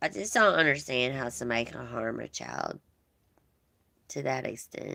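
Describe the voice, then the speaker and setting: A woman with a Southern US accent talks at a moderate pace with long, frequent pauses. Her loudness swings widely. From US South, Georgia. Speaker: livestream host. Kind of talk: casual chat with live viewers. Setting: livestream.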